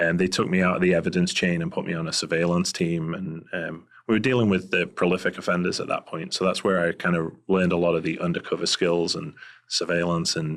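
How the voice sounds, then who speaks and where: Fairly quick and monotone, a man talks with a Scouse accent. His pitch is very deep and low, the intonation flat. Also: very clean recording, silent background. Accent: Liverpool (Scouse) English accent, noticeable. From England, Liverpool. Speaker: private investigator, former police officer. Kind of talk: interview conversation. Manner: hesitant, many fillers.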